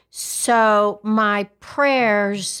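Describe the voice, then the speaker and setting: In a West Texas accent, a woman speaks at a fairly high pitch with fairly even intonation on a very clean recording with a silent background. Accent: West Texas drawl. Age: 60s. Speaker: podcast co-host. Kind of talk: casual chat.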